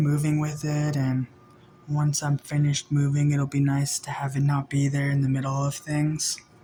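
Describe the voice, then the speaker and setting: Somewhat breathy, the voice has a dark, mellow tone and monotone, flat intonation at a moderate pace. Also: man. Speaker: vlogger. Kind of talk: casual vlog talk. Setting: indoors in apartment.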